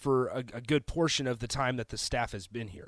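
A man with an unremarkable speaking voice at a moderate pace, the sound dry and close with no echo. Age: 20s. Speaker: sports radio host. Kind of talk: sports talk radio monologue. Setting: radio studio.

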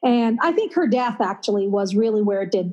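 A woman speaks with an Upper Midwest accent. Her pace is moderate. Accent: Upper Midwest American. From Minnesota, US Midwest. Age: 50s. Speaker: author and writing teacher. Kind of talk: casual interview.

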